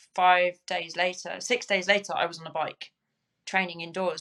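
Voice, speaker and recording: A woman's medium-pitched voice with a southern English accent, bright and sharp in tone, monotone and flat in intonation, at a moderate pace. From southern England, Crawley. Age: 40s. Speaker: Paralympic cyclist. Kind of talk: interview. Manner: halting.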